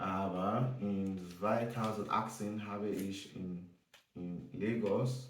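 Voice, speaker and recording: Speech with a non-native accent and audible room echo. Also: man. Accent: non-native German, noticeable. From Nigeria. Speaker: German learner vlogger. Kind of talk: casual self-introduction vlog. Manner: halting, many hesitations.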